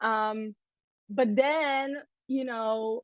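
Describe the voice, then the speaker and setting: A woman speaks with an Israeli accent. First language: Hebrew. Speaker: dancer. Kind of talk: interview.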